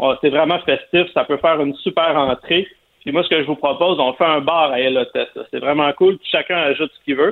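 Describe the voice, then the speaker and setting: The speaker has a Quebec accent and a fairly even intonation. The pace is fairly quick. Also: man, fairly high pitch for a man. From Quebec, Montreal area. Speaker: barbecue columnist. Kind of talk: cooking tips on radio.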